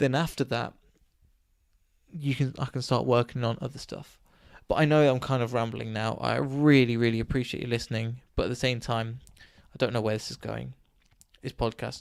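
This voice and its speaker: A mumbling man at medium pitch, moderate pace and fairly even intonation, with long, frequent pauses, on a very clean recording with a silent background. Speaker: podcaster and DJ. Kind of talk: solo podcast monologue. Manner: halting, stuttering; rambling, mumbling.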